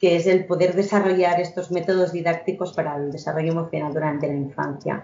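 A woman speaks at a fairly quick pace with hardly any pauses. Her fairly low voice holds a monotone, flat intonation. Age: 30s. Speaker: emotional education entrepreneur. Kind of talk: podcast interview.

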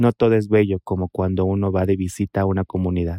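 Speaking at a fairly quick pace, a man with a fairly low pitch is heard in a dry, close sound with no echo. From Mexico, Oaxaca. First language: Mixtec (speaking Spanish). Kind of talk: interview testimony.

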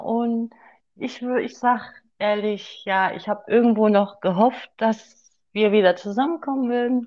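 This woman's voice is fairly high in pitch, with fairly even intonation. She talks at a very slow pace. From Sauerland, Germany. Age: 30s. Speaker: guest, host's ex-girlfriend. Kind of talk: personal testimony.

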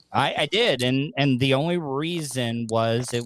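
A man speaks in an American accent. Noticeable background noise runs behind him. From Florida. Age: 40s. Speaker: radio personality and podcaster. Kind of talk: casual chat.

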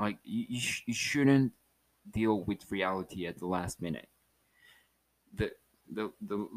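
Heard in a dry, close sound with no echo, a man with a Spanish accent speaks at a fairly low pitch. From Mexico, Chihuahua. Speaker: podcast host. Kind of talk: casual solo monologue. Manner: halting, repeats words.

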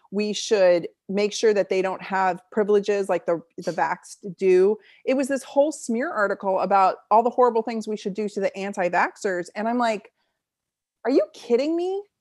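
A woman with a plain, everyday voice speaks at medium pitch with ordinary pitch variation on a very clean recording with a silent background. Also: moderate pace. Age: 40s. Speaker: naturopathic doctor and chiropractor. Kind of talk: interview.

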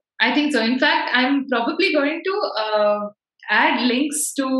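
With audible room echo, a woman speaks in a high voice at a fairly slow pace. Her intonation is lively. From India, Bangalore (North). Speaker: podcast host. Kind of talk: casual chat.

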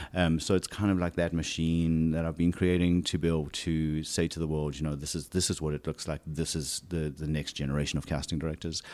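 With a South African accent, a man talks at a fairly quick pace with hardly any pauses, his very deep, low voice held in a monotone, flat intonation. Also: very clean recording, silent background. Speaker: casting director. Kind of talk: casual interview conversation. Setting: home living room. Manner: halting, many repetitions and fillers.

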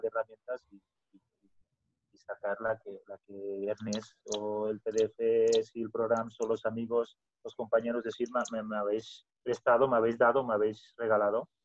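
The man's voice sits at a medium pitch. His intonation stays fairly even. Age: 30s. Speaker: business owner. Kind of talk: podcast interview. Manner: halting, with repetitions.

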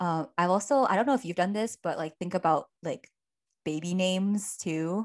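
A woman with a normal speaking voice, medium in pitch, at a moderate pace and with ordinary pitch variation. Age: 20s. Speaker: podcast co-host. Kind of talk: casual chat.

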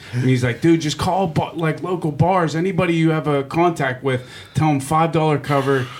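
Over noticeable background noise, a man with an American accent speaks in a fairly high pitch with fairly even intonation. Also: moderate pace. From Pittsburgh, Regent Square. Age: 40s. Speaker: radio host and comedian. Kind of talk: casual chat. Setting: studio.

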